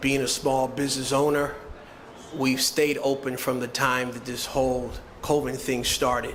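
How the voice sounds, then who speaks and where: A man's medium-pitched, monotone, flat voice at a moderate pace, with noticeable background noise and audible room echo. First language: Haitian Creole. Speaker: restaurant owner. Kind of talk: press conference speech.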